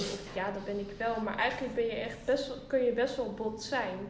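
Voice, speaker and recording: Audible room echo and noticeable background noise surround a voice with fairly even intonation. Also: woman. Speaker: podcast co-host. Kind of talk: casual chat. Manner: calm.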